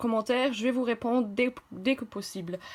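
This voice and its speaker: With a slight German accent, a woman speaks in a fairly high voice using fairly even intonation. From half German, half French. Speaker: math tutor, medical school applicant. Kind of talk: tutorial. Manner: halting, many hesitations.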